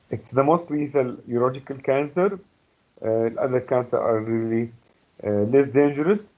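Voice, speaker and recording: A man with an Arabic accent talks at a moderate pace with long, frequent pauses. His pitch is fairly high, with ordinary pitch variation. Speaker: medical lecturer. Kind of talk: lecture. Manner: halting with many fillers.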